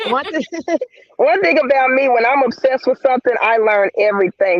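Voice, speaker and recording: An American accent with ordinary pitch variation. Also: man. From US South, Memphis, Tennessee. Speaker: reptile breeder and educator. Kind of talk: casual chat.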